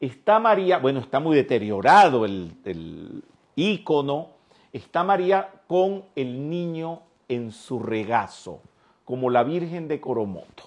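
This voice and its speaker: Speaking very slowly in a Venezuelan accent, a man with a fairly high pitch makes very wide pitch swings. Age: 60s. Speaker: spiritual teacher. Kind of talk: lecture.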